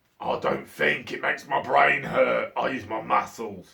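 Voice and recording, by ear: A man's booming, raspy put-on character voice at a moderate pace.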